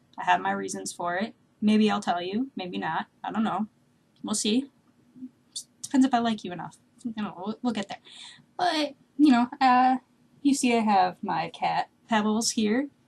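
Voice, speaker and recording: A woman with a fairly high pitch speaks at a moderate pace with lively intonation. Her voice is somewhat breathy, and her pauses are long and frequent. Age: 20s. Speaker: vlogger. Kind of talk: casual vlog monologue. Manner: halting, many fillers.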